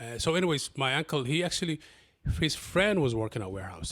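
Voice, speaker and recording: A man in a Somali accent, very fast and somewhat breathy, with lively intonation. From Somalia, then Kenya refugee camp, raised in Columbus, Ohio. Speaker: city council candidate. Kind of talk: interview. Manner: halting, many repeats and fillers.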